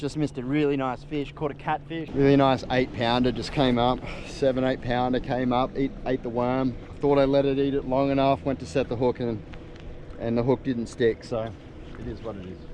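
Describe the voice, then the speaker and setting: A man with an Australian accent speaks at a fairly quick pace and medium pitch with fairly even intonation, over noticeable background noise. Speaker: pro bass angler. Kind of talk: fishing vlog. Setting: in a car.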